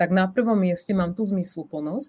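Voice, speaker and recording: A woman with a dark, mellow tone speaks at a moderate pace in a somewhat breathy voice. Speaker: life coach. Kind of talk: interview. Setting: live stream.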